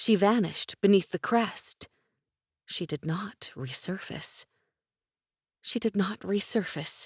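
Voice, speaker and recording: In a very clean recording with a silent background, a woman talks at a moderate pace in a plain, everyday voice. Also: dry, close sound with no echo. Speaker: audiobook narrator. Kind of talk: audiobook narration.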